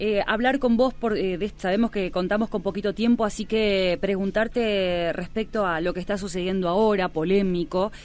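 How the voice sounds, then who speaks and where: With hardly any pauses, a woman with an ordinary speaking voice talks at a moderate pace and medium pitch, her intonation fairly even. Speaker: radio host / interviewer. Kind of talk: radio interview questions.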